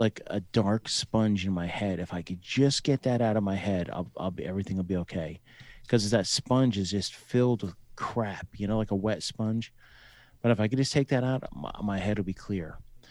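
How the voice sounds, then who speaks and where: An unremarkable speaking voice from a man with an American accent, fairly low in pitch, at a moderate pace. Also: ordinary pitch variation. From New Jersey. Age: 40s. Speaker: army veteran and author. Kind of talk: casual chat.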